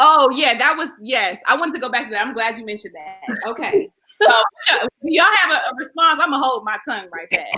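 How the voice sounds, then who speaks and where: A woman speaks in a raised, projected voice at a high pitch and a fairly quick pace. Both her pitch and her loudness swing widely. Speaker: talk show host. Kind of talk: live panel discussion. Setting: livestream.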